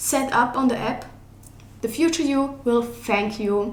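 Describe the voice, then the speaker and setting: A woman with a non-native accent speaks at a high pitch with ordinary pitch variation, amid noticeable background noise and audible room echo. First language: not English. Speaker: digital artist and art YouTuber. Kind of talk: casual tutorial. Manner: casual, filler-heavy speech.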